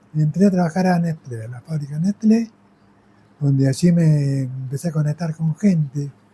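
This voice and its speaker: This man has a fairly high pitch and a dark, mellow tone, speaking at a moderate pace with ordinary pitch variation in a dry, close sound with no echo. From Argentina, Magdalena (Buenos Aires province). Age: 70s. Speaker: volunteer firefighter. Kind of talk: interview storytelling. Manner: halting, with fillers.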